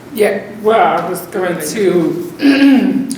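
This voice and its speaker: Over noticeable background noise and audible room echo, a woman talks with lively intonation. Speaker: therapist. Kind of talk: presentation.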